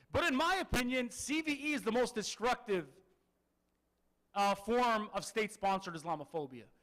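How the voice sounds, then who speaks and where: A man talks at a high pitch with very wide pitch swings and very even loudness. His pace is moderate, broken by long, frequent pauses. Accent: American. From Detroit, US Midwest. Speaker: author and legal scholar. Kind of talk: public lecture. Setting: Islamic center with audience.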